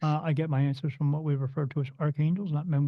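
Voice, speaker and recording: The voice is somewhat breathy, with an American accent and a monotone, flat intonation. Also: man. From New Jersey. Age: 50s. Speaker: spirit medium. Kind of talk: podcast interview.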